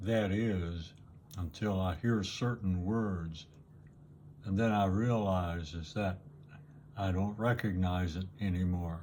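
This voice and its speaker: A man with a very deep, low pitch and a dark, mellow tone speaks at a very slow pace with long, frequent pauses. His intonation is fairly even, and the room echo is audible. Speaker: YouTuber. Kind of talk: casual monologue.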